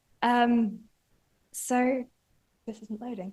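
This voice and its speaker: With a strong northern English accent, a woman speaks at a moderate pace in a high pitch and a monotone, flat intonation. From northern England. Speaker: PhD student researcher. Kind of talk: conference talk. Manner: halting, many fillers.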